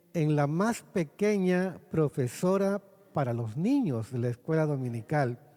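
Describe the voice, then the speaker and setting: A man speaks very slowly with lively intonation and a dark, mellow tone, in a very clean recording with a silent background. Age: 60s. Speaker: pastor. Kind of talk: sermon.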